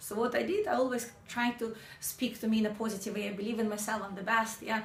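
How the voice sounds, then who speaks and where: Over noticeable background noise and audible room echo, a woman talks very fast at a fairly high pitch with fairly even intonation. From Ukraine. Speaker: sales trainer. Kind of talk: motivational talk.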